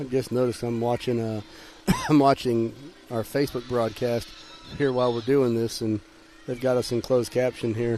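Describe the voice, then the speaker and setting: Mumbling in a Southern US accent, a man speaks at a moderate pace and medium pitch with monotone, flat intonation, long, frequent pauses and noticeable background noise. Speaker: sports commentator. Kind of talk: live commentary. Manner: casual, conversational.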